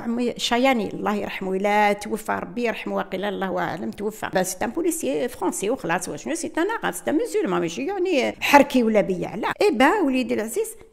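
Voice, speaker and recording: Over noticeable background noise, a woman with a fairly high voice talks with hardly any pauses, her pitch swinging very widely. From Algeria, Kabylie. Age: 70s. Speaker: independence war witness. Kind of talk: testimony. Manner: code-switching Arabic and French, halting.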